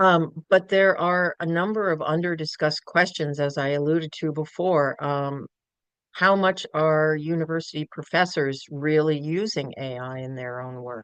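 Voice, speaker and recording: In an American accent, the speaker talks at a moderate pace with ordinary pitch variation and big swings in loudness, recorded dry and close with no echo. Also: woman, very deep, low pitch for a woman. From New York City. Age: 60s. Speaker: professor. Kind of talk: lecture. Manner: halting.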